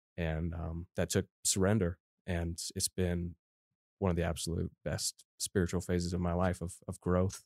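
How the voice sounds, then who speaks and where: A man's very deep, low voice with an American accent, monotone and flat, at a moderate pace, in a dry, close, very clean recording with a silent background. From Colorado. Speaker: church intern. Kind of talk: interview testimony.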